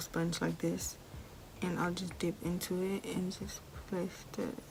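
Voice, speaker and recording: A woman with a mid-range pitch talks while distinct background noise plays behind her. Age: young. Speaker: beauty YouTuber. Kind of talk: casual makeup tutorial talk to camera.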